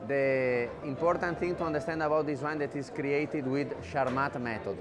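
With clear music in the background, a man speaks at a moderate pace and ordinary pitch variation. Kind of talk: interview answer. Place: hall. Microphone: lapel.

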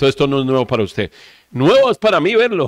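A man talks with a quiet background. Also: dry sound with no echo. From Colombia, Valle del Cauca. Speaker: web TV host. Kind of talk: interview. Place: studio.

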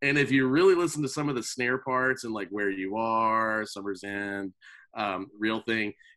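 At a moderate pace and with ordinary pitch variation, a man talks in a bright, sharp tone against a quiet background. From North Carolina. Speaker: drummer. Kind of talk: casual chat. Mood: relaxed, friendly. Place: home room. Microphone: video call.

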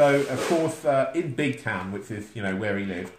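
Lively intonation colors this plain reading aloud.

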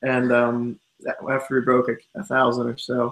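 Noticeable noise sits behind a man as he talks. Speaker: guest. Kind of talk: interview answer. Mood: cheerful, laughing. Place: home room. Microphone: video call.

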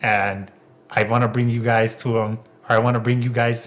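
A man speaking in a monotone with flat intonation. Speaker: podcast host. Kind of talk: casual chat.

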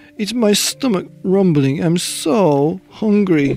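Faint music plays under a man doing a put-on character voice. His pitch is high and lively, his tone slightly mellow, and his pace slow.

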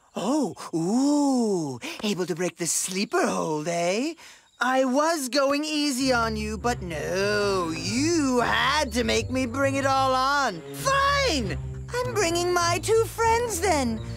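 A cartoonish character voice, pitched fairly high, moves at a very slow pace. Faint music plays in the background. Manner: pompous, commanding, blustering.

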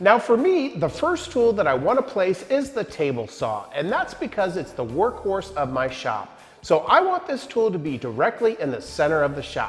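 Faint music plays in the background as a man talks at a moderate pace. He hardly pauses. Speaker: woodworking content creator. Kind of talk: tutorial. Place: workshop.

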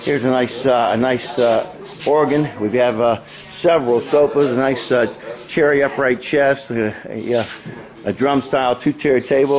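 A man with a medium-pitched voice talks over noticeable background noise. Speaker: auction promoter. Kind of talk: walkthrough sales pitch previewing auction lots, rattling off items as he strolls. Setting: outdoors at auction grounds. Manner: brisk, upbeat salesman patter with a steady rolling list rhythm; casual, slightly halting with frequent 'uh' fillers and self-repeats.

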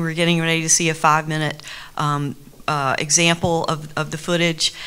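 A woman with an American accent speaks at a fairly low pitch. Her tone is bright and sharp, her intonation monotone and flat. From US South. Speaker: art and anthropology teacher; anthropology teacher. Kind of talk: panel discussion. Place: hall. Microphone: handheld.

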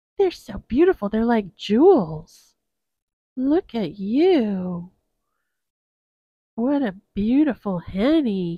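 A woman's put-on character voice, very slow, with very wide pitch swings. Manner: cooing, affectionate pet-talk.

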